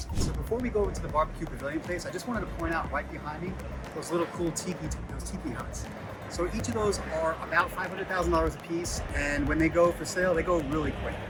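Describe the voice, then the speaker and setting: A man talks very fast in an enthusiastic tone. Music plays in the background and the room echo is audible. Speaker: realtor. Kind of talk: property walkthrough tour. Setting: outdoors at pool deck. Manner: casual, enthusiastic.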